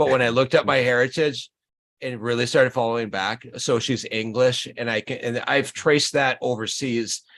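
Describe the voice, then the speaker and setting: An unremarkable speaking voice at a moderate pace with fairly even intonation, over a quiet background. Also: man. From northern Minnesota. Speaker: YouTube channel host. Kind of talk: casual chat.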